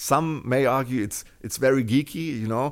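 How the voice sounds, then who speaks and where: In a very clean recording with a silent background, a man with a German accent speaks at a medium pitch with fairly even intonation. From Germany. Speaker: open-source intelligence researcher and job-site founder. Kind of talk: interview.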